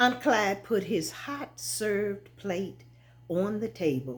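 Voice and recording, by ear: A passage is read aloud in a natural voice.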